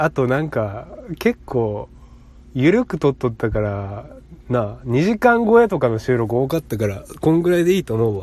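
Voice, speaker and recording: A man with a Kansai accent speaks at a moderate pace. His pitch is medium and his intonation lively. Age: 20s. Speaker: podcast host. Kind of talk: casual chat.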